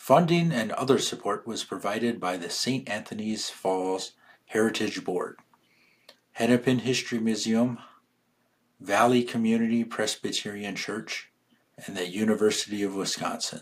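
A man with an ordinary speaking voice talks at a medium pitch. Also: ordinary pitch variation, moderate pace. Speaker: podcast narrator. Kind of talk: scripted narration.

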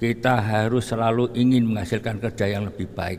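Talking at a fairly quick pace, a man uses a fairly low pitch and fairly even intonation. Audible room echo surrounds his voice. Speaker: preacher. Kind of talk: sermon. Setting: mosque.

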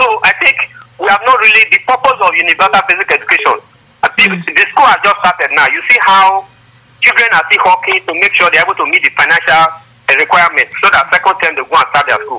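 A man speaks fairly quickly. Noticeable background noise runs underneath. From Nigeria. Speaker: civil rights activist. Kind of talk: call-in opinion.

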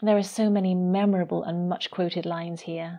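Against a quiet background, a woman speaks at medium pitch. Her intonation is monotone and flat. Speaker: poet and radio presenter. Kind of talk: poetry reading, solemn and measured, in a devotional radio show. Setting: speaking from near Rome, radio. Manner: slow, reverent, deliberate, with a hushed and melancholy lilt.

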